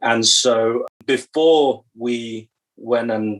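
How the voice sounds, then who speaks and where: A man speaks at a medium pitch with a British accent. His intonation stays fairly even. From England. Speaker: church stewardship director. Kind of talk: podcast interview.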